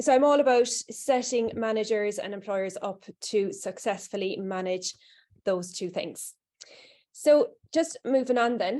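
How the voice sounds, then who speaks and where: Speaking with a Cork accent, a woman with a fairly high pitch and a dark, mellow tone talks at a fairly slow pace. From Ireland, Cork. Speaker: HR consultant, workshop presenter. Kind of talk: presentation to small audience. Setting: room with live and online audience. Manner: casual, hesitant with fillers.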